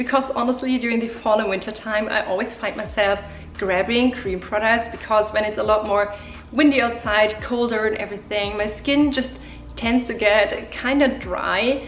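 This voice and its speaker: A woman speaks in a German accent at a fairly high pitch, her intonation fairly even. Noticeable background noise is present. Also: moderate pace. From Germany. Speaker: beauty YouTuber. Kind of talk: makeup tutorial talk to camera.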